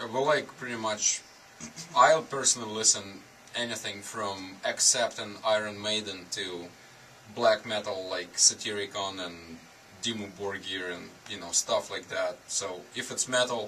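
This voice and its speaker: A man with a fairly low pitch and ordinary pitch variation talks as noticeable noise sounds behind him. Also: fairly slow pace, big swings in loudness. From Russia, Stavropol. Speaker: band drummer. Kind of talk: casual interview. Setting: band practice studio.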